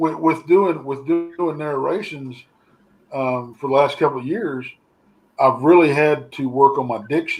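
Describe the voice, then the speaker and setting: A man speaks at a fairly slow pace with a fairly high pitch. His pitch moves in an ordinary way. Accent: American. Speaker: paranormal researcher. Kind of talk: casual chat. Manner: relaxed.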